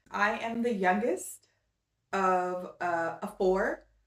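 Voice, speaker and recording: Using an American accent, a woman talks at a very slow pace and medium pitch with ordinary pitch variation. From US West Coast, Los Angeles, California. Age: 30s. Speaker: fashion and style vlogger. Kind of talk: casual vlog introduction. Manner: animated.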